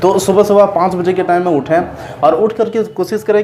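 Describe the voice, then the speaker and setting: The voice belongs to a man with a high pitch. There is noticeable background noise. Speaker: motivational YouTuber. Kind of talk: casual vlog talk. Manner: halting, repetitive.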